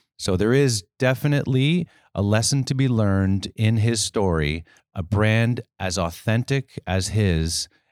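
The man has a plain, everyday voice at a fairly low pitch, recorded with a dry, close sound and no echo. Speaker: podcast host. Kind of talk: interview conversation.

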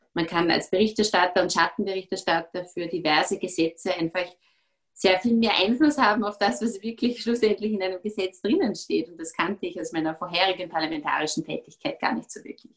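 An ordinary speaking voice at a fairly quick pace, with big swings in loudness and ordinary pitch variation. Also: woman, medium pitch for a woman. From Austria, Vorarlberg. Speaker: politician. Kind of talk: interview.

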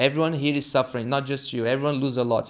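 This man has a Brazilian accent and a fairly high pitch. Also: very clean recording, silent background. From Brazil, São Paulo. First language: Portuguese. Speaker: jiu-jitsu gym owner and instructor. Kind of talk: casual interview.

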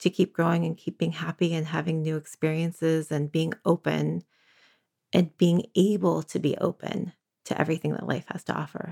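A woman with a Northern California accent speaks at a fairly low pitch, with vocal fry and a dark, mellow tone. The sound is dry and close, with no echo. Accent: Northern California American. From San Francisco, California. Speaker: divorcing mother. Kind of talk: interview. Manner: halting.

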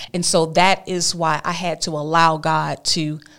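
The recording is very clean, with a silent background. A woman with a fairly low pitch talks in a Southern US accent. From Alabama. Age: 40s. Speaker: abstinence advocate and speaker. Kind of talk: testimony.

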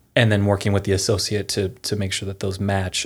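The recording is very clean, with a silent background. A man with an American accent and a fairly low voice talks at a fairly quick pace. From Pennsylvania. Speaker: former attorney, business founder. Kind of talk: interview conversation.

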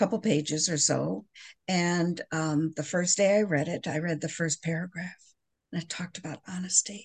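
Against a quiet background, a woman with an American accent speaks fairly slowly, somewhat breathy, at a fairly low pitch with ordinary pitch variation. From US Midwest. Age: 70s. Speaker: person in recovery. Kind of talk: casual chat.

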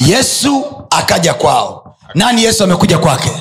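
A man speaks in a high, animated voice with very wide pitch swings. Audible room echo and music sit in the background. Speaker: pastor. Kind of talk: sermon.

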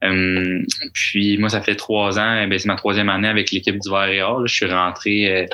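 Against noticeable background noise, a man with a fairly low pitch talks at a moderate pace in a monotone, flat intonation. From Quebec. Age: 20s. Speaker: university golfer and medical student. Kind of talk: casual interview. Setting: studio.

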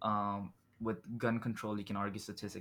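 In a very clean recording with a silent background, a man talks at a fairly low pitch in a flat, monotone way. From Dubai. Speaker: podcast host. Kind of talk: casual interview chat.

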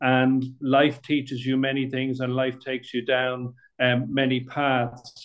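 Male voice in a Dublin accent, medium in pitch, at a fairly slow pace with monotone, flat intonation. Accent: Dublin Irish. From Dublin, Ireland. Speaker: playwright. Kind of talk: casual chat. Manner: halting, many fillers.

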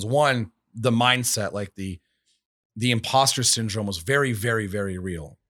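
A man speaks in an animated tone at a medium pitch. The recording is very clean and dry, close, with a silent background and no echo. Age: 30s. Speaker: real estate brokerage CEO. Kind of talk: casual interview.

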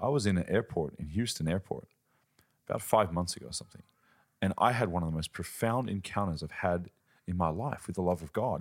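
A man with an Australian accent speaks at a fairly quick pace in a very deep, low voice with ordinary pitch variation. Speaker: preacher and ministry founder. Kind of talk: casual interview chat.

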